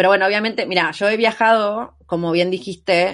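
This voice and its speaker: Woman with a Rioplatense accent at medium pitch and moderate pace, over a quiet background. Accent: Argentine Spanish (rioplatense). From Argentina. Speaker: long-term traveller. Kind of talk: casual interview chat.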